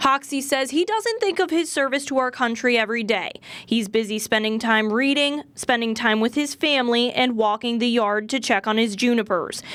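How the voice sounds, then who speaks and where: Over noticeable background noise, a woman with a high pitch and ordinary pitch variation talks at a moderate pace with hardly any pauses. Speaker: TV news reporter. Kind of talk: TV news report narration.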